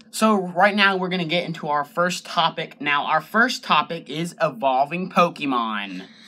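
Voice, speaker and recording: Barely pausing, a man with a high pitch talks at a moderate pace with lively intonation. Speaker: YouTuber. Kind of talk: casual chat.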